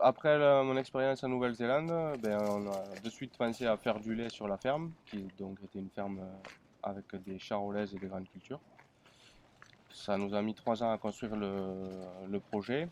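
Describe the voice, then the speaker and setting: A man speaks at a fairly low pitch. His pace is moderate and his pitch varies in an ordinary way. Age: 20s. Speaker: dairy farmer. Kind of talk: interview. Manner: halting.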